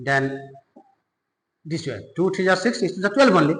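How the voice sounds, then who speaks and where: A man's high-pitched, raised and projected voice, bright and sharp in tone, with lively intonation and audible room echo. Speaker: maths teacher. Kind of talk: tutorial.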